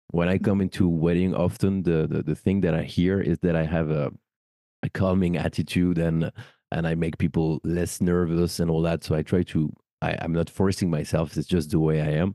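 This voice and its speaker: A man speaks at a moderate pace with a French accent, his very deep, low voice dark and mellow, flat and monotone, in a dry, close sound with no echo. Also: very even loudness. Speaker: wedding celebrant and podcast host. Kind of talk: casual interview chat.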